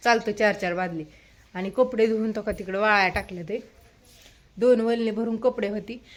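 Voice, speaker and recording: On a very clean recording with a silent background, a woman with an unremarkable speaking voice talks at a fairly high pitch with fairly even intonation. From Maharashtra, Karmala area. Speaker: rural homemaker vlogger. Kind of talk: casual vlog chat.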